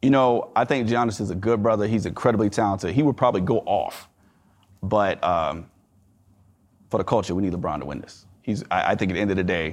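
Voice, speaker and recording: A man's fairly low voice at a fairly quick pace, with ordinary pitch variation and a quiet background. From US South. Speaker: attorney and bank investor. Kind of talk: interview conversation. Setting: live event venue.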